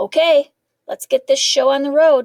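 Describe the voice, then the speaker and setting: This woman uses a put-on character voice at an extremely high pitch. Her pace is moderate. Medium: read story.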